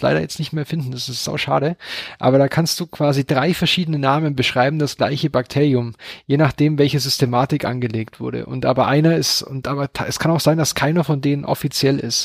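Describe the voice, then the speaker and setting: Recorded dry and close with no echo, a fairly high-pitched man talks at a very fast pace with fairly even intonation. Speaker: science podcast co-host. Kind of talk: casual science chat.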